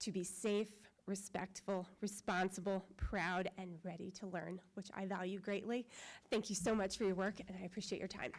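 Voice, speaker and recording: Here is a woman's voice. Her accent is Midwestern American. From northwest Ohio. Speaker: parent giving public comment. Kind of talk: public comment speech. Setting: school board meeting room. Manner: fast.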